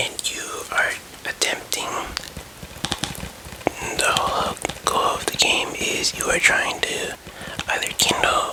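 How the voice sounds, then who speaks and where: Whispered speech comes very slowly, broken by long, frequent pauses over noticeable background noise. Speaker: ASMR creator. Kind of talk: ASMR roleplay as a game store employee. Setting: ASMR recording with tapping and controller sounds. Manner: explaining, slightly unsure and stumbling.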